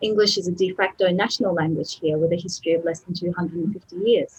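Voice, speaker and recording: In an Australian accent, a woman talks very fast at medium pitch, sounding somewhat breathy. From Australia, Melbourne. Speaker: translator and academic editor. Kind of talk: webinar lecture. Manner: talkative.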